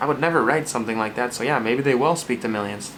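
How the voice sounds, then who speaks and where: Over noticeable background noise and audible room echo, a man with an American accent talks at a very fast pace. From Minnesota. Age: 20s. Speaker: Bible study video host. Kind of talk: casual talk to camera.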